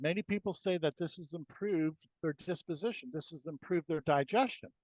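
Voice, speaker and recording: A man's high-pitched voice with lively intonation and a fairly quick pace, dry and close with no echo, over a quiet background. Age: 60s. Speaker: inventor. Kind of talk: interview.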